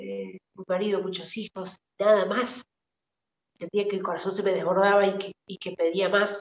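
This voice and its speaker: A woman with an Argentine accent speaks at a moderate pace and medium pitch in a monotone, flat intonation, with big swings in loudness and a dry, close sound with no echo. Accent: Argentine Spanish (voseo). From Argentina, San Luis province. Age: 40s. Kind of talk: interview testimony.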